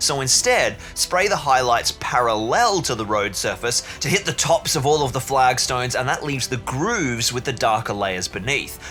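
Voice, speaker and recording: A man's medium-pitched voice with a strong Australian accent and lively intonation, hardly any pauses, and music in the background. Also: moderate pace. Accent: broad Australian. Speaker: hobby and terrain-building YouTuber. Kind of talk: tutorial voiceover. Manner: animated.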